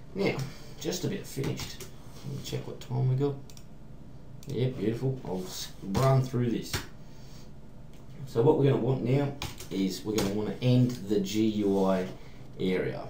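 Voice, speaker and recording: A man with an Australian accent talks at a moderate pace and medium pitch, with long, frequent pauses. Noticeable background noise and audible room echo fill the recording. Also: lively intonation. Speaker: programming tutorial maker. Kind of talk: tutorial. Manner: casual, hesitant with fillers.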